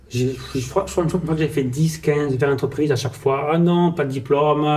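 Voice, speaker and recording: A man speaks at a fairly high pitch and a moderate pace, with fairly even intonation. Noticeable background noise runs under his voice. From France, Portuguese family. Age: 30s. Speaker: salesman, sales manager. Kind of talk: podcast interview, life story. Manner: casual, many fillers.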